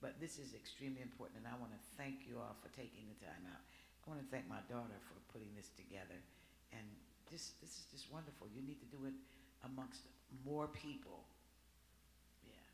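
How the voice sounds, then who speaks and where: Despite long, frequent pauses, a man keeps a fairly quick pace in a recording with audible room echo. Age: 60s. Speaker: audience member. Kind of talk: audience remarks.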